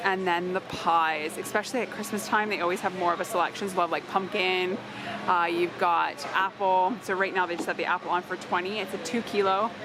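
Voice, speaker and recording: A woman at medium pitch and a moderate pace, fairly even in intonation, dry with no echo, with clear music in the background. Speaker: shopping vlogger. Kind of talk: casual shop-along vlog. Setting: in a warehouse store. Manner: quiet. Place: shop. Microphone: phone near.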